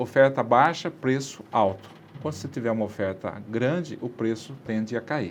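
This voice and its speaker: Male speaker, a plain, everyday voice, medium pitch, ordinary pitch variation, moderate pace. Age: 60s. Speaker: city councillor. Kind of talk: interview. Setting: studio.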